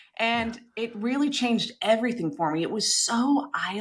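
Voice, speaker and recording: Noticeable background noise sits behind this recording. A woman with an American accent speaks in a fairly high voice. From United States, Georgia. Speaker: licensed professional counselor. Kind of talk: interview answer.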